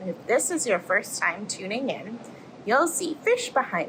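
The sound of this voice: With big pitch swings, a woman speaks at fairly high pitch in a fairly bright tone. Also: moderate pace.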